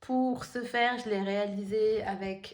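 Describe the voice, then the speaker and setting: A woman is the speaker. Her voice is fairly high, with ordinary variation in pitch. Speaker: tarot card reader. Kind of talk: tarot reading video. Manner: hesitant, many fillers.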